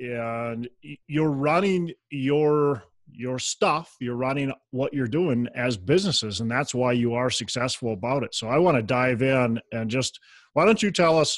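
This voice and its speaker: Speaking with a Minnesotan accent, a man uses a medium pitch and ordinary pitch variation, recorded dry with no echo against a quiet background. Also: fairly slow pace. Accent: Minnesota. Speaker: podcast host. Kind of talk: casual interview. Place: home room. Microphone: earbuds.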